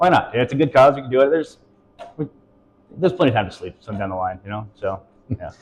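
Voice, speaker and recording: Somewhat breathy and at a very fast pace, a man with a medium-pitched voice uses lively intonation, big swings in loudness, and long, frequent pauses. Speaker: local business operations director. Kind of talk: interview. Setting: on location at a coworking space.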